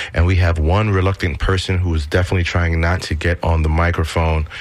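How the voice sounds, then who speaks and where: The intonation stays fairly even while noticeable background noise carries on underneath. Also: man. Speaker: radio host. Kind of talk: radio show hosting. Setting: studio.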